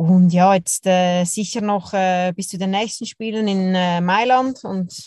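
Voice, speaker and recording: The voice has fairly even intonation in a dry, close sound with no echo and a quiet background. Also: woman. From Switzerland, Zurich. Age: 30s. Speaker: professional curler. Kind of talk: interview.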